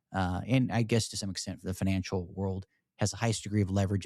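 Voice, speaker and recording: Speaking at a very fast pace with an American accent, the voice has a dark, mellow tone and monotone, flat intonation in a very clean recording with a silent background. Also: man. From US, Shenandoah Valley, Virginia. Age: 30s. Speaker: podcast host, military veteran. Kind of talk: interview; show outro.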